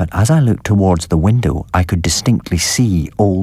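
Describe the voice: This is a stretch of plain reading aloud.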